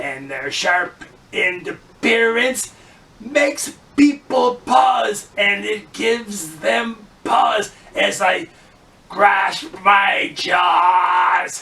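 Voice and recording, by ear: A man's put-on character voice, high-pitched and very slow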